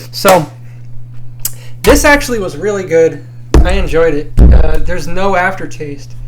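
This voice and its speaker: A man talks at a fairly slow pace, leaving long, frequent pauses. Noticeable background noise and audible room echo are present. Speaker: drinking review YouTuber. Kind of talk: casual vlog monologue. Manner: casual, hesitant with fillers.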